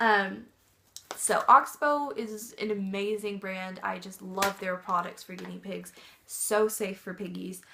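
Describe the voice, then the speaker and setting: The loudness swings a lot across a fairly slow pace, while the intonation stays fairly even. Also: woman, medium pitch for a woman. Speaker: pet vlogger. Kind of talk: casual tutorial. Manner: hesitant, many fillers; soft-spoken.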